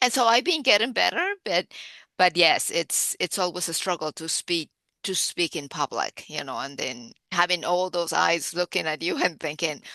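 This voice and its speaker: Bright, sharp tone and lively intonation at a moderate pace, dry and close with no echo, over a quiet background. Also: woman, fairly low pitch for a woman. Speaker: architect. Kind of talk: casual chat. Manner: loud.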